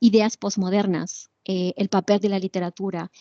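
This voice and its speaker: A woman speaks at a fairly slow pace against a quiet background, the sound dry and close with no echo. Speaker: literature professor giving webinar lecture. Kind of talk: lecture. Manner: hesitant, many fillers.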